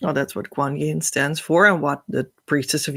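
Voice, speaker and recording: A woman speaks with a Dutch accent. The recording is very clean, with a silent background. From Netherlands. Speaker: spiritual teacher. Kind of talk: spiritual teaching talk. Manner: halting.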